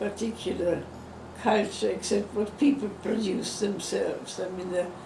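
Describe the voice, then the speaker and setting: There is noticeable background noise. A woman talks at a fairly slow pace. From Czech Republic. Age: 80s+. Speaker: Holocaust survivor. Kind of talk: interview answer.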